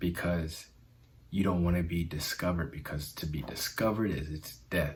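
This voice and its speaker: A man talks with a very deep, low pitch and a somewhat breathy sound. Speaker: self-help video host. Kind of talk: motivational talk. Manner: halting with fillers.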